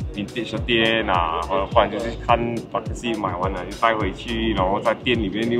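Clear background music under a male voice. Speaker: interviewee. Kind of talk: interview answer. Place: street. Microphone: phone near.

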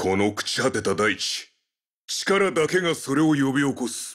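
A put-on character voice runs at a moderate pace. The recording is very clean, with a silent background. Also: man, medium pitch for a man. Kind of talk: video game character voice lines. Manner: menacing, domineering.

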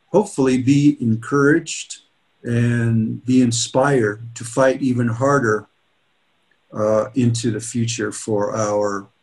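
A man's somewhat breathy voice at a very slow pace. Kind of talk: keynote speech. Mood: earnest, rallying. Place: office. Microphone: webcam.

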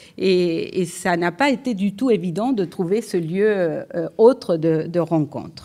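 A woman's dark, mellow tone at a very slow pace against a quiet background. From Uruguay. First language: Spanish (speaking French). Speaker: economics professor. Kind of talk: lecture. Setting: lecture hall with audience. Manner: hesitant, repeated fillers. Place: hall. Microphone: podium.

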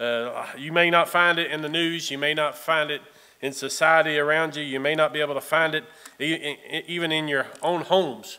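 Monotone and flat, a man speaks at a moderate pace. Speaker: lay preacher filling in. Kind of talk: sermon. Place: church.

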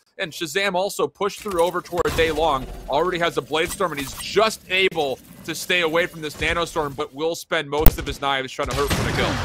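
Excited and animated, a man speaks at a very fast pace and a high pitch. Background noise is noticeable. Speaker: esports commentator. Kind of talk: live esports commentary, play-by-play of a Valorant match. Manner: fast, fluent play-by-play delivery, rising and falling with the action; excited, animated in key moments, mostly measured and analytical.

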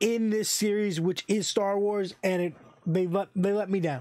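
Here a man speaks at a high pitch with fairly even intonation. The background is quiet. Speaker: channel host reviewer. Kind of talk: casual review commentary. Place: home room. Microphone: studio mic.

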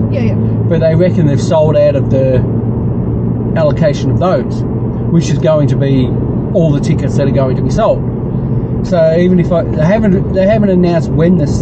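Loud background noise sits behind a man who speaks at a fairly quick pace with ordinary pitch variation. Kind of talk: casual chat with passenger. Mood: relaxed, mildly disappointed. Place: car. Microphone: camera far.

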